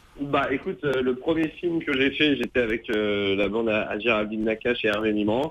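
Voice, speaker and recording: The man's pitch varies in an ordinary way while noticeable background noise carries on behind him. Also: medium pitch for a man, moderate pace, hardly any pauses. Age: 20s. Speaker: stand-up comedian. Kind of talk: radio interview answer. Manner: energetic, upbeat.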